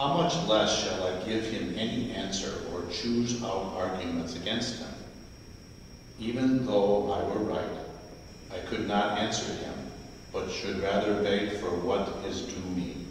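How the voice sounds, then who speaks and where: Strong room echo and light background noise surround a man speaking at a fairly slow pace. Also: fairly low pitch for a man, ordinary pitch variation. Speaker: lector. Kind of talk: scripture reading and fervent prayer. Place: church.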